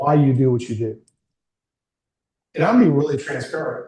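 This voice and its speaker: A man's somewhat breathy voice sits at a fairly high pitch. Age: 60s. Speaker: career coach. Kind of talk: workshop talk to a small group. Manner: informal.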